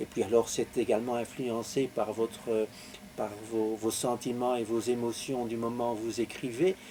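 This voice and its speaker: Monotone and flat, a man with a Belgian accent talks at a fairly slow pace and a medium pitch. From Belgium, Belgian Lorraine. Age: 70s. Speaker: author. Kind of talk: interview. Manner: halting, many hesitations.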